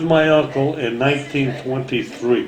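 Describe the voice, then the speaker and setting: The speaker talks at a fairly slow pace with fairly even intonation. Noticeable background noise and audible room echo fill the recording. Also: man. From Transylvania (Romania/Hungary), then New York from age 10. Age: 80s+. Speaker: family elder interviewee. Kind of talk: oral history interview. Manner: halting.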